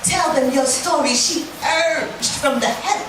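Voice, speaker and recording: A woman talks at a fairly slow pace with an American accent. Noticeable background noise runs under her voice. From Brooklyn, New York. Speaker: spoken word poet. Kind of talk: live spoken word poetry performance. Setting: bar stage, live audience.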